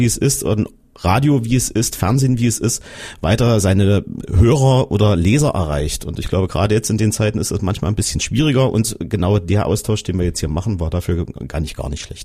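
This man talks at a fairly quick pace with lively intonation, his fairly low-pitched voice dark, mellow and somewhat breathy. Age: 40s. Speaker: radio reporter. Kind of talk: casual panel discussion.

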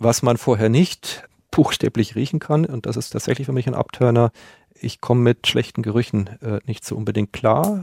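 A man with a medium pitch talks at a moderate pace in a plain, everyday voice. His pitch varies in an ordinary way, and the sound is dry and close with no echo. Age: 40s. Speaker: male escort. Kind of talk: interview. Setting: studio.

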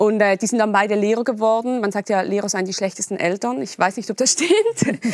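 Speaking fairly quickly with hardly any pauses, a woman with a Swiss German accent keeps a medium pitch and ordinary pitch variation. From eastern Switzerland. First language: Swiss German (speaking German). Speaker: novelist. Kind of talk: interview. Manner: halting.

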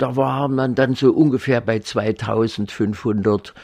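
A quiet background behind a man's voice of ordinary pitch variation. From East Germany. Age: 80s+. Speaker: retired paediatric surgeon. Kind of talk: interview. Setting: garden of his home.

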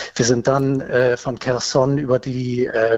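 In a dry, close sound with no echo, a man speaks at a fairly slow pace with monotone, flat intonation. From northern Germany. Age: 50s. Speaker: caller, army reservist. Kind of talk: phone interview. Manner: hesitant with filler sounds.

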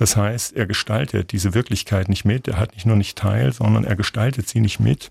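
Recorded with a dry, close sound and no echo, a man with a fairly low pitch and vocal fry talks at a fairly quick pace with ordinary pitch variation. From Thuringia, eastern Germany (Gotha). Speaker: literature professor and author. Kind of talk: radio interview.

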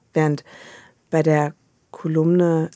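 A woman's dark, mellow tone in a very clean recording with a silent background. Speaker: novelist and columnist. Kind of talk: radio interview. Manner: halting, many repetitions and fillers.

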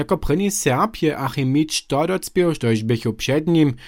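On a very clean recording with a silent background, a man with a plain, everyday voice talks at a fairly slow pace, his fairly high pitch carrying lively intonation. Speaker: radio reporter. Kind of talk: radio feature report.

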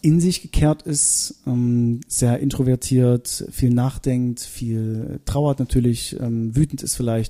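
With an East German accent and a dark, mellow tone, the speaker goes at a very slow pace with ordinary pitch variation. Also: man. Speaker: singer. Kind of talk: interview. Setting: at home.

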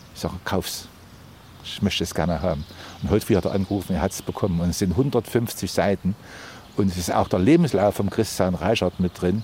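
This man has a very deep, low voice and ordinary pitch variation. He talks at a fairly quick pace but makes long, frequent pauses. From Thuringia, Erfurt. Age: 70s. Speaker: market gardener. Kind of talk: interview on location. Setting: outdoors.

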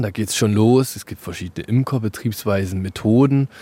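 The voice has a dark, mellow tone and ordinary pitch variation, captured with a dry, close sound and no echo. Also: man. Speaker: hobby beekeeper and allotment gardener. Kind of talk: casual interview.

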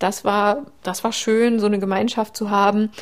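A woman talks in a monotone, flat intonation. The recording is very clean, with a silent background. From Saxony, Leipzig. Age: 30s. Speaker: endometriosis patient. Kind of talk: interview.

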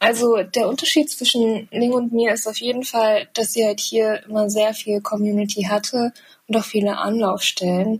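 Somewhat breathy and fairly high, a woman's voice keeps a moderate pace and fairly even intonation. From eastern Germany. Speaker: journalist and filmmaker. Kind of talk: casual chat.

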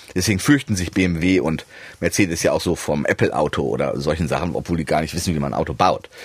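The man's pitch is very deep and low, roughened by vocal fry. He talks at a very fast pace. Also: ordinary pitch variation. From Germany, Hannover and Düsseldorf; half of youth in USA. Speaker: economist, research institute president. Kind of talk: explanatory interview chat.

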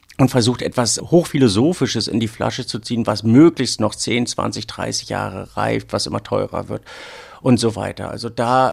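Ordinary pitch variation at a moderate pace. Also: man. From northern Germany, Rügen. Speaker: wine sommelier. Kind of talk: casual interview. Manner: halting.

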